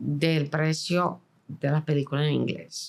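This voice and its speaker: In a very clean recording with a silent background, a woman speaks at a very slow pace. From Venezuela (Caracas), born in New York. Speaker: film director and producer. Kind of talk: interview.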